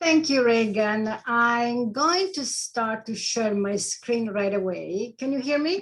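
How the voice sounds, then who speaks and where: In a strong Italian accent, a woman speaks at a very slow pace with hardly any pauses, using lively intonation at a fairly high pitch. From Italy. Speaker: life coach. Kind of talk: presentation.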